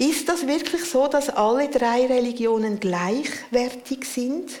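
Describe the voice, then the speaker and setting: A woman speaks with ordinary pitch variation. The room echo is audible, and background noise is noticeable. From Central Switzerland. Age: 60s. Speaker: preacher and spiritual director. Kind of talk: sermon.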